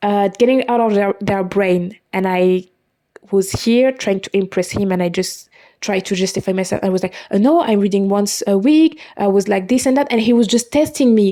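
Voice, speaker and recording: With a non-native accent, a woman speaks in a dark, mellow tone at a moderate pace. The recording is very clean, with a silent background. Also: medium pitch for a woman, ordinary pitch variation. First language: not English. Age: 20s. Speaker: podcaster. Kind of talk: personal monologue. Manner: halting.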